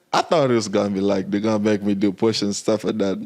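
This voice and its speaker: This man's tone is dark and mellow. He speaks fairly low in pitch. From Kenya, Nairobi. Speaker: army veteran. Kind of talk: interview.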